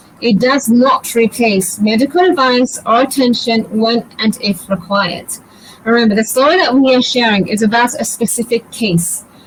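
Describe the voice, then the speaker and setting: A woman with a British accent and a fairly high pitch, very even in loudness, over noticeable background noise. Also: ordinary pitch variation, moderate pace. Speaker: birth educator, doula. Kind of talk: live webinar presentation. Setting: online live session.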